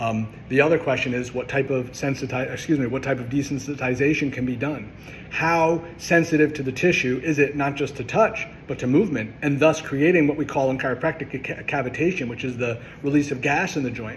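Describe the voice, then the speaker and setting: A man's fairly high voice with fairly even intonation. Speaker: chiropractor. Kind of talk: educational monologue. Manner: fast; passionate, with filler words.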